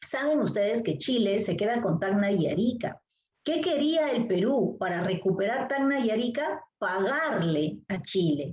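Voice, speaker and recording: Fairly slow and fairly high, a woman's voice moves in very wide pitch swings while keeping very even loudness. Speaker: literature teacher. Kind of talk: lecture.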